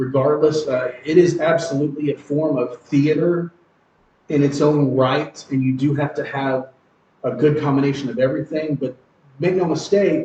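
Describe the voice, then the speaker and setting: At a moderate pace, a man with a fairly high pitch uses fairly even intonation in a normal speaking voice. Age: 40s. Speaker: professional wrestler. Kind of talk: podcast interview. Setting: podcast.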